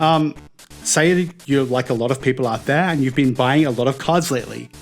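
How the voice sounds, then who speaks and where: With music playing in the background, a man in an Australian accent talks at a very fast pace, his medium-pitched voice showing ordinary pitch variation. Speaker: card game judge. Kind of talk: casual talk to camera. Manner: hesitant, some stuttering and slurred words.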